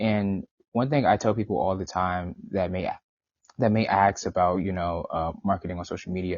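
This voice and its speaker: This man has a fairly low pitch and speaks at a moderate pace with ordinary pitch variation. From New York City (Brooklyn). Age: 20s. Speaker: marketing agency owner. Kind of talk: podcast interview. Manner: halting, with fillers and repeats.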